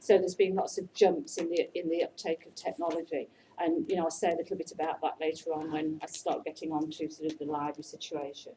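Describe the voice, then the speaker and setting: The speech runs at a very fast pace with hardly any pauses, monotone, flat intonation and big swings in loudness. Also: woman, fairly low pitch for a woman. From England, Nottingham. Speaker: librarian and educator. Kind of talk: informal talk.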